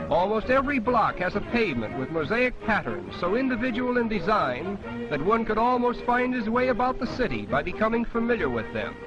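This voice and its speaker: Music plays in the background as a man with an American accent talks at a high pitch and a fairly quick pace, with ordinary pitch variation and hardly any pauses. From United States. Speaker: travelogue narrator. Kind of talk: vintage travelogue documentary narration. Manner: formal, measured, declamatory.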